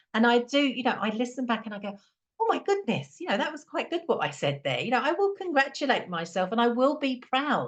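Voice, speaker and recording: Speaking at a fairly quick pace with an English accent, a woman uses a fairly high pitch with very wide swings and vocal fry. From England. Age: 50s. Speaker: calm and confidence coach, podcast co-host. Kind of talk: casual chat.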